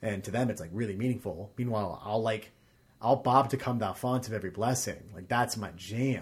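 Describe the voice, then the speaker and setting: The speaker goes at a fairly quick pace, sounding somewhat breathy. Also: man, medium pitch for a man, ordinary pitch variation. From Arkansas. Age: 20s. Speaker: stage actor. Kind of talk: casual chat. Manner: animated.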